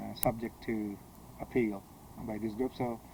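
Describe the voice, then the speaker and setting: With a dark, mellow tone, a man speaks at a medium pitch. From Punjab, India. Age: 60s. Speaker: politician and former professor. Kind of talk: interview. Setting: at home. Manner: halting, many fillers.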